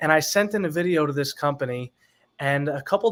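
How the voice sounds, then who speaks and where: Fairly quick and fairly high-pitched, this man has a plain, everyday voice with ordinary pitch variation. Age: 20s. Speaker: singer. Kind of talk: interview.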